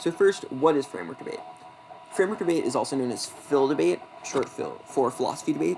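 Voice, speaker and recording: Over noticeable background noise, someone talks at a very fast pace with an American accent. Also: man. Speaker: debate coach. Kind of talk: lecture. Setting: screen-recorded presentation. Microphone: not very great laptop.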